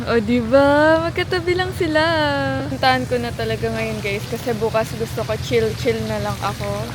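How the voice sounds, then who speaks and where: Room echo is audible and background noise is noticeable as a woman talks at a moderate speed. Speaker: travel vlogger. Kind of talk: travel vlog narration. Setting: outdoors. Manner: loud.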